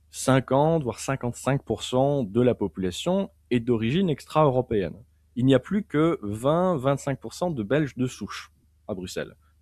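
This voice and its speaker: Lively intonation moves at a moderate pace in a very clean recording with a silent background and a dry, close sound with no echo. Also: man, medium pitch for a man. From Belgium, Liège (French-speaking). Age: 20s. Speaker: political philosophy author and commentator. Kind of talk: interview discussion. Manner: halting, many repetitions and fillers.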